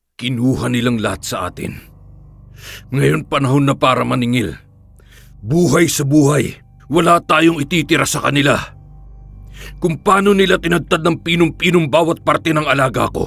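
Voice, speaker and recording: Using a put-on character voice, a man speaks at a fairly high pitch in a menacing tone with long, frequent pauses, as faint music plays in the background. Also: moderate pace. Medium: read story.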